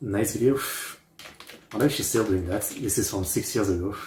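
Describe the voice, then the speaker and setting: A man with a fairly low, somewhat breathy voice talks at a moderate pace with ordinary pitch variation. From France. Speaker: reaction youtuber. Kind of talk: casual commentary. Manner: hesitant, filler-heavy.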